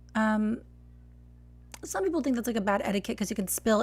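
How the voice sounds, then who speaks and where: A woman with an American accent speaks in a fairly high, somewhat breathy voice. Her intonation stays fairly even. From Texas. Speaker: barista and latte art coach. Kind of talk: live stream tutorial critique. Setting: live stream. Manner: casual, chatty.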